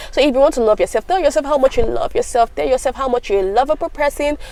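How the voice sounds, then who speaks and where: Noticeable background noise fills the recording. A woman talks, her pitch swinging very widely. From Africa. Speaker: lifestyle vlogger. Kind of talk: casual advice talk. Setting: home video recording. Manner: fast.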